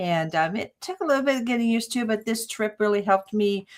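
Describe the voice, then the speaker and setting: A woman speaks in a normal speaking voice at medium pitch. Her pace is moderate. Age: 60s. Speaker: psychic medium and healer. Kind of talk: casual interview chat.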